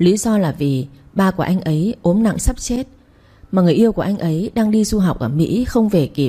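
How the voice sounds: Reading aloud in a natural voice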